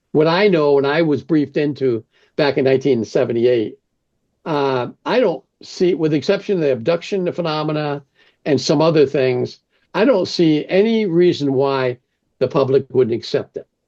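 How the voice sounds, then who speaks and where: The man's voice sits at a fairly high pitch with a dark, mellow tone. He talks at a moderate pace with ordinary pitch variation. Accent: American. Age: 70s. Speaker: former counterintelligence officer. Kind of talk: interview conversation.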